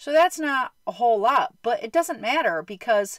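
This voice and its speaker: Over a quiet background, a woman speaks at a fairly slow pace in a high pitch with very wide pitch swings, the sound dry with no echo. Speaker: storyteller. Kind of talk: casual vlog storytelling. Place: home room. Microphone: phone near.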